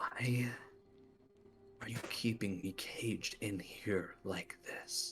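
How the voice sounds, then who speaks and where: A man's put-on character voice at medium pitch, very slow pace, long and frequent pauses, clear music in the background. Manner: longing, craving.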